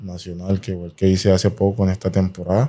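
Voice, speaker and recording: Against a quiet background, a man talks with a dark, mellow tone and a very deep, low pitch. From Colombia, San Andrés island; Colombia. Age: 20s. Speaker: professional footballer; guest. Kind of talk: interview. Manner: halting, many repetitions. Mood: relaxed, sometimes smiling. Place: studio. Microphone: studio mic.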